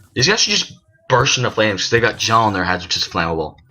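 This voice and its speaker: Music plays in the background as a man speaks at a very fast pace with ordinary pitch variation. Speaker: gaming YouTuber. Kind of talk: let's play commentary.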